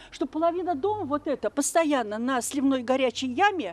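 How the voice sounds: At a moderate pace, a woman speaks with lively intonation and a high pitch. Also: slightly mellow tone.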